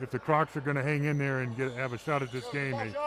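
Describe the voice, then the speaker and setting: With monotone, flat intonation, a man of medium pitch speaks at a fairly quick pace against noticeable background noise. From Texas, Houston. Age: 60s. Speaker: basketball color commentator. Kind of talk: live commentary. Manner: halting, many fillers.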